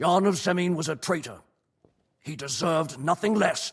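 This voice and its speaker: A man's raspy, high-pitched put-on character voice at a moderate pace. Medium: video game. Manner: cold, contemptuous.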